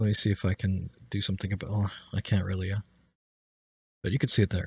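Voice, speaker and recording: A somewhat breathy man, fairly low in pitch, at a very fast pace with monotone, flat intonation. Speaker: streaming tutorial maker. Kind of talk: tutorial. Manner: halting, stuttering.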